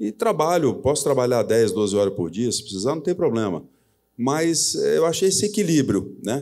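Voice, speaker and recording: On a very clean recording with a silent background, a man with a fairly high pitch and a dark, mellow tone talks at a moderate pace, his pitch swinging very widely. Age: 60s. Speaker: company president. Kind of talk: live on-stage interview. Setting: stage with audience.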